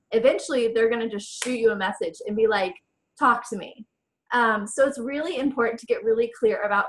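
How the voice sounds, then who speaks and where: A woman talks at a fairly quick pace. Her pitch is fairly high. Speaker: online business coach. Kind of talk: webinar training talk. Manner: fast.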